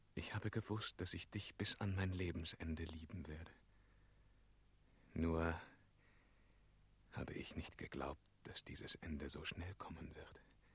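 In a put-on character voice, a man speaks slowly at an extremely low pitch, with fairly even intonation and long, frequent pauses.

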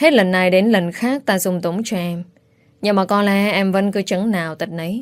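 The recording captures an unforced reading voice.

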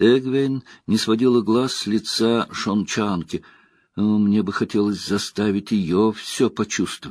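What comes through is a natural reading voice.

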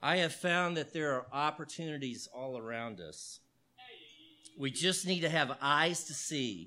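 Bright and sharp in tone, a man talks at a fairly slow pace with a fairly high pitch and ordinary pitch variation. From Texas, Houston. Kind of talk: talk to an audience.

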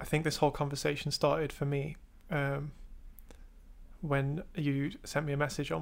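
An English accent comes through at a moderate pace on a very clean recording with a silent background. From England. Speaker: artist and art student. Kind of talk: casual chat.

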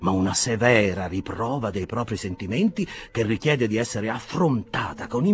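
The intonation is lively. The text is read aloud in a natural voice.

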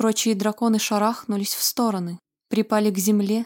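A person reads aloud in a natural voice, and the background stays quiet.

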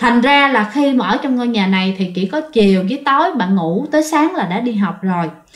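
This woman's fairly high voice rises and falls in a lively way at a fairly quick pace.

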